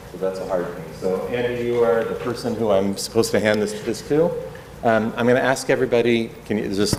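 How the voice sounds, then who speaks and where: A man with an American accent talks at a very fast pace and a fairly low pitch, with ordinary pitch variation. Room echo is audible, along with noticeable background noise. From US Midwest, Kansas City. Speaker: rabbi. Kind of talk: lecture. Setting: classroom with audience and microphone. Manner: loud; conversational, many filler words.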